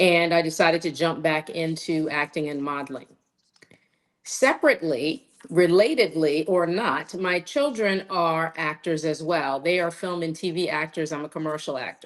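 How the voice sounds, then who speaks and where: A woman speaks in a normal speaking voice at a fairly low pitch. Her pace is moderate, with ordinary pitch variation. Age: 60s. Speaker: commercial actor and model. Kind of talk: interview.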